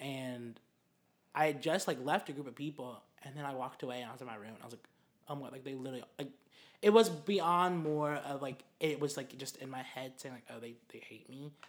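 Speaking at a fairly quick pace, a man with an ordinary speaking voice has fairly high pitch, ordinary pitch variation and big swings in loudness. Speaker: podcast co-host. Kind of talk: casual chat.

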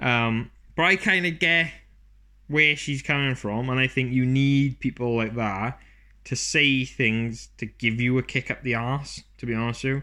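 A man speaks at medium pitch in a bright, sharp tone with ordinary pitch variation. The background is quiet. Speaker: podcast host and small business owner. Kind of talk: solo monologue podcast, casual chat. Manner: fast talker; rambling, casual.

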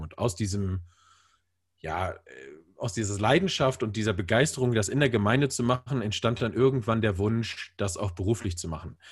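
A man's somewhat breathy voice is fairly low in pitch, with ordinary pitch variation. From northern Germany, Bremen. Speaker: church media producer. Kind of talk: casual interview. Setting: video call.

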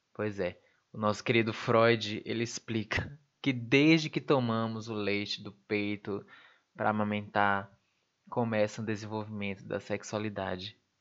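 Over a quiet background, a man speaks in a normal speaking voice at a fairly low pitch. His pace is fairly slow, with fairly even intonation. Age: 20s. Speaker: podcast host, university student. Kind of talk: solo podcast monologue. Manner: casual, laughing asides.

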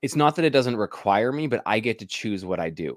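At a moderate pace, a man with an ordinary speaking voice talks at a fairly low pitch with lively intonation in a very clean recording with a silent background. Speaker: podcast host, painting business founder. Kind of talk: casual interview chat.

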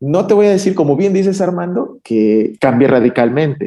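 A man with a dark, mellow tone and lively intonation. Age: 40s. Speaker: psychoanalyst. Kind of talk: casual interview conversation.

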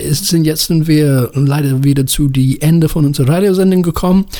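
Delivering his words at a moderate speed, a man uses ordinary pitch variation and a dark, mellow tone. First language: English (speaking German). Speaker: radio host and music editor. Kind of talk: radio show presenting. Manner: halting, many filler sounds.

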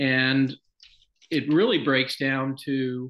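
A man talks in a medium pitch. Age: 60s. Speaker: Episcopal priest. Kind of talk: casual chat. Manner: halting.

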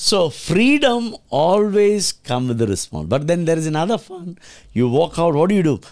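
This man's high-pitched voice moves through very wide pitch swings. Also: moderate pace. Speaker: pastor and charity founder. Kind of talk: interview.

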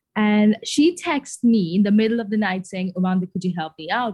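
Somewhat breathy and dark, mellow in tone, a woman's medium-pitched voice moves at a moderate pace with ordinary pitch variation in a dry, close sound with no echo. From Sri Lanka. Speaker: medical student. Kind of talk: casual chat.

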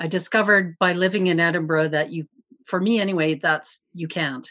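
A woman with a Canadian prairie accent, fairly low pitch, ordinary pitch variation and a moderate pace. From Canadian prairies. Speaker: glass sculptor. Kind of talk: casual chat.

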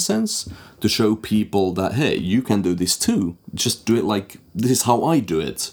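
In an unremarkable speaking voice, a man talks at a moderate pace and a fairly low pitch with lively intonation, on a very clean recording with a silent background. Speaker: game composer and sound designer. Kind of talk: casual interview chat.

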